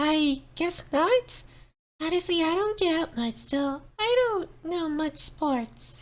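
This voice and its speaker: A squeaky, high-pitched character voice is put on here. The delivery comes at a very slow pace. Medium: audio drama. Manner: soft, hesitant.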